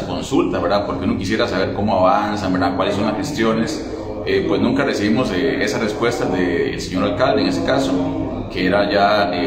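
This man keeps a moderate pace while music runs in the background. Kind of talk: interview answer. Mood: concerned, measured complaint. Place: hall. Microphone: handheld.

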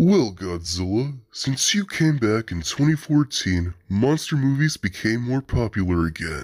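A man in a put-on character voice, medium in pitch, at a moderate pace with hardly any pauses. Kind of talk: fan comic dub. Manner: confident, playful.

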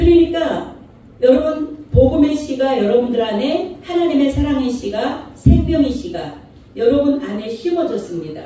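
Lively intonation moves at a fairly slow pace through strong room echo and light background noise. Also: woman, high pitch for a woman. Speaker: pastor. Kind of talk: sermon. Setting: church. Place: church. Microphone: microphone suddenly broken.

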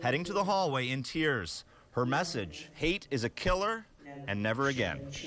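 A man talks over noticeable background noise. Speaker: news reporter. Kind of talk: local TV news report.

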